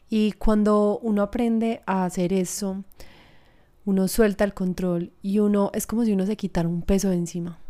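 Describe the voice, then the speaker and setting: Over a very clean recording with a silent background, a woman with a dark, mellow tone speaks at a medium pitch and moderate pace in monotone, flat intonation. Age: 20s. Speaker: podcast host. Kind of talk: personal reflection monologue.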